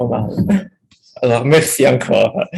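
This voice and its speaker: A somewhat breathy male voice with a strong Italian accent. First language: Italian (speaking French). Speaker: history professor. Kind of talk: academic talk, unscripted. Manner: halting.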